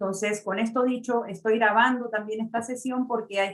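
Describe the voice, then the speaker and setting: A woman with an Argentine accent, fairly quick pace and fairly even intonation. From Argentina, Buenos Aires. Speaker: mortgage loan officer. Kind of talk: webinar presentation. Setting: online webinar. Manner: frequent filler sounds.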